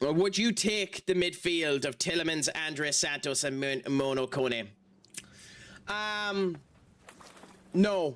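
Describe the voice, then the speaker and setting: The speaker uses an Irish accent, moving at a very slow pace with long, frequent pauses and lively intonation. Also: man, fairly high pitch for a man. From Ireland. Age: 30s. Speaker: gaming streamer. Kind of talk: casual chat. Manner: animated.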